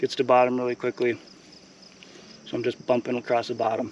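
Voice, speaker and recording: A man's very fast, flat, monotone speech, dry with no echo, over light background noise. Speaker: angler host. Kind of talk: casual fishing commentary. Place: waterside. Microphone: phone near.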